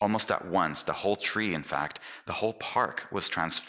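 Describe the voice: This is plain reading aloud. Someone reads text out.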